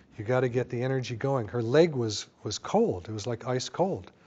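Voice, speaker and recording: A man speaks over noticeable background noise. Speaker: doctor giving a lecture. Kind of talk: lecture. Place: hall. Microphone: lapel.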